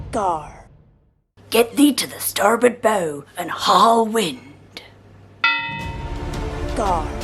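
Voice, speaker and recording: A put-on character voice, fairly high in pitch, at a very slow pace over faint music in the background. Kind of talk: alarm clock wake-up calls. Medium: role play. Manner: gruff, shouting.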